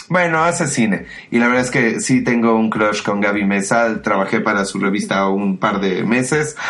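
With noticeable background noise and audible room echo, a man speaks at a medium pitch. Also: ordinary pitch variation, moderate pace. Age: 30s. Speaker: podcast co-host. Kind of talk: casual chat.

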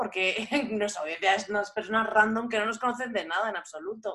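A woman talks in a normal speaking voice, fairly high in pitch. Her pitch variation is ordinary. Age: 30s. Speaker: podcast host and language teacher. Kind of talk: casual chat.

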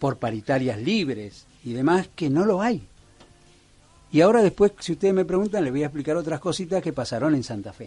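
Fairly quick in pace, a man's fairly high voice moves through very wide pitch swings. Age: 60s. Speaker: local political candidate. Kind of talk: radio interview. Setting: radio studio.

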